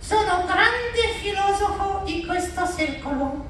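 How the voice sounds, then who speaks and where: A put-on character voice moves at a fairly slow pace over loud background noise, with slight echo. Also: man, extremely high pitch for a man. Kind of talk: live comedy stage show. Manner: cheeky, deadpan.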